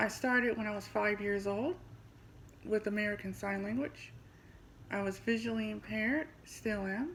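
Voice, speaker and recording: With a Midwestern US accent, a woman speaks at a moderate pace in a fairly high, somewhat breathy voice, leaving long, frequent pauses. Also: ordinary pitch variation. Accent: US Midwest. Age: 40s. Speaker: podcast host and language teacher. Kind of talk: scripted self-introduction.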